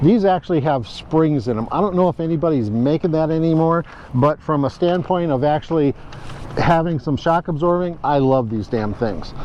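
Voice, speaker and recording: Fairly high-pitched male voice at a moderate pace, with ordinary pitch variation over noticeable background noise. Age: 70s. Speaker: hiking instructor. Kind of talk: tutorial. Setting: outdoors. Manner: halting, many fillers.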